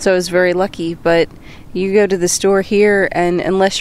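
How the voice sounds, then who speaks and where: This is a normal speaking voice from a woman. Her pitch is medium and her pace fairly quick. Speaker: co-host. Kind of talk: casual chat.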